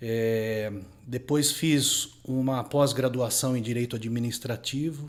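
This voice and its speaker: Speaking very slowly, a man uses a medium pitch and fairly even intonation. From Brazil, São Paulo city. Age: 40s. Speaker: lawyer. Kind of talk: interview.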